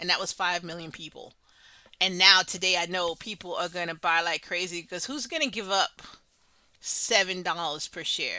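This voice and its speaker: The speaker has an animated tone and a moderate pace. The recording is very clean, with a silent background. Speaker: finance YouTuber. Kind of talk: casual market commentary.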